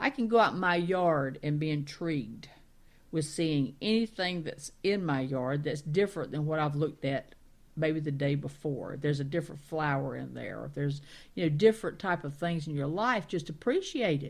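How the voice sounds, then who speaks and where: With a Southern accent, a woman speaks at a moderate pace, her very deep, low pitch showing ordinary variation. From Carolinas, US South. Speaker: talk radio co-host. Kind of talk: casual chat.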